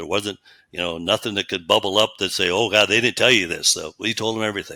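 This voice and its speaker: A man with an American accent speaks in a fairly low, bright, sharp tone with fairly even intonation. The recording is very clean, with a silent background. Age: 70s. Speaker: retired meat processing company owner. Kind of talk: interview. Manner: halting, many fillers.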